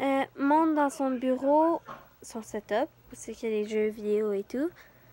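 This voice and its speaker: Delivered at a fairly slow pace with ordinary pitch variation, the voice sounds dry and close with no echo. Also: woman, high pitch for a woman. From Quebec. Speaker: youtuber reading horror stories. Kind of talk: reading aloud a horror story with casual asides. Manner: halting, with hesitations and self-corrections.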